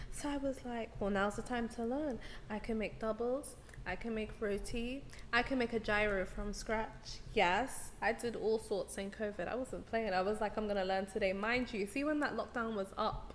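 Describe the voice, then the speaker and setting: A woman with a strong British accent, fairly high pitch and a moderate pace. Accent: thick British. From London, England. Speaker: musical artist and songwriter. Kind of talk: casual chat. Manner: animated.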